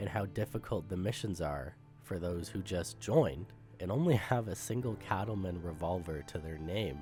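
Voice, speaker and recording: Against music in the background, a man with a very deep, low pitch speaks at a moderate pace with lively intonation. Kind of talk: gaming commentary narration.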